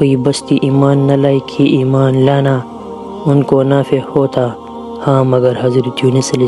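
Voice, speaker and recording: Music plays behind a man speaking at a medium pitch. His intonation is monotone and flat. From Pakistan. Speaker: voice-over artist, channel owner. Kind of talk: Islamic story narration.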